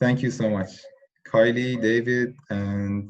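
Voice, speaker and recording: Talking at a very slow pace, a man with a non-native accent shows ordinary pitch variation. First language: not English. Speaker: tutor. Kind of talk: online tutorial session. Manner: halting, many fillers.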